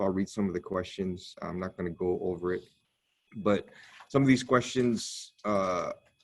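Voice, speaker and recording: A man talks in a normal speaking voice. He keeps a moderate pace with ordinary pitch variation. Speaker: teacher trainer. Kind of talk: training presentation.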